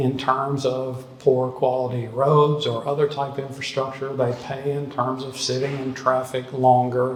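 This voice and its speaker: Amid audible room echo and noticeable background noise, a man talks at a fairly slow pace with medium pitch. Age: 60s. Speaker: economist. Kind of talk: talk with audience Q&A. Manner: casual, hesitant with fillers.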